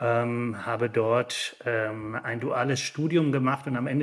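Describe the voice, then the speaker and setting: A man speaks in a flat monotone. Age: 50s. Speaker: managing director of an industry association. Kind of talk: interview. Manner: hesitant, many filler sounds.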